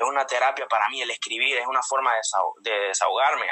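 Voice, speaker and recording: Speaking with a Honduran accent, a man keeps his intonation fairly even. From Honduras, Comayagua. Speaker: marine and singer. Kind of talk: casual interview. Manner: halting.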